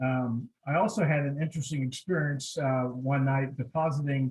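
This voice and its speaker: Here a man with an American accent speaks at a moderate pace. His pitch is fairly high. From Southern California, San Diego. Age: 60s. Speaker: chamber of commerce president. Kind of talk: personal life story talk.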